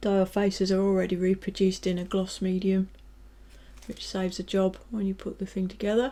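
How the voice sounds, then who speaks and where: Relaxed and dark, mellow in tone, a voice with a British accent moves at a fairly quick pace over a very clean recording with a silent background. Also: woman, medium pitch for a woman. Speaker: scale model reviewer. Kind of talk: product review tutorial. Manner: relaxed, casual with fillers.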